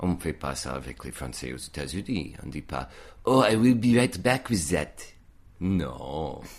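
Very deep and low-pitched with vocal fry, this man talks very slowly, his pitch swinging very widely and his loudness rising and falling sharply. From US, Virginia, Reston. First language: English (speaking French). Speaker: painter. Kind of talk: casual chat.

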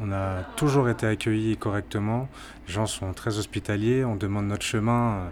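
The man's pitch is fairly low, with ordinary pitch variation. He talks at a moderate pace. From Martinique. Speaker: traveller. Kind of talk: interview. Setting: restaurant. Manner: halting.

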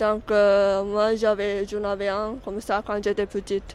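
A woman's fairly high voice in a Japanese accent at a very slow pace. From Japan, Tokyo. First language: Japanese (speaking French). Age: 20s. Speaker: exchange student. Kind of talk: radio interview.

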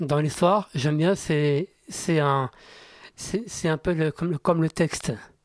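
A man with a fairly high pitch and ordinary pitch variation speaks with long, frequent pauses, in a dry, close sound with no echo. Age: 30s. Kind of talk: radio interview. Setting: radio studio. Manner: halting, repetitive.

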